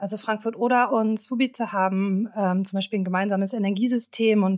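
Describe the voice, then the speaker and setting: With an unremarkable speaking voice, a woman talks at a moderate pace and medium pitch with ordinary pitch variation, in a very clean recording with a silent background. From northeastern Germany, Stralsund. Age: 20s. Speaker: master's student. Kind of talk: interview conversation.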